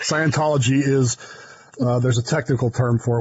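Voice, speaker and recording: Against noticeable background noise, a man with an American accent talks fairly quickly at a medium pitch. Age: 60s. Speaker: podcast co-host. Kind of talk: casual chat. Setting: studio. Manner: animated.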